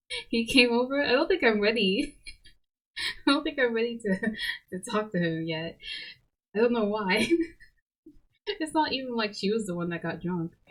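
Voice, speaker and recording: A somewhat breathy, fairly high female voice with lively intonation and long, frequent pauses. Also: moderate pace. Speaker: streamer playing visual novel. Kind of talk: reading game text aloud with chat commentary. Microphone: quiet mic, gain boosted.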